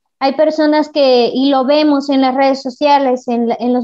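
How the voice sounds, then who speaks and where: Her pitch is high and her intonation fairly even. The woman talks at a fairly slow pace. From Puebla, Mexico. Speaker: primary school teacher and wheelchair basketball player. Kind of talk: interview.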